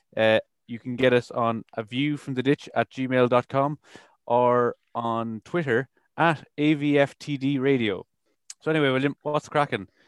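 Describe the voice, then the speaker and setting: The speaker has an Irish accent and fairly even intonation at a moderate pace. The sound is dry and close with no echo, over a quiet background. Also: man, medium pitch for a man. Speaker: radio host. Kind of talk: casual chat; show announcements.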